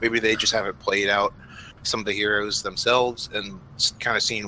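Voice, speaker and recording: A man mumbling at medium pitch, monotone and flat. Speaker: esports co-commentator. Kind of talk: live commentary.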